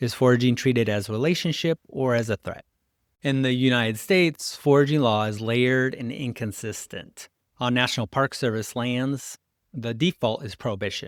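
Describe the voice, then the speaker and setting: Recorded very clean with a silent background and a dry, close sound with no echo, a man mumbles at a medium pitch. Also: ordinary pitch variation, moderate pace. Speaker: podcast host, ecological restoration practitioner. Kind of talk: scripted narration. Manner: mumbling.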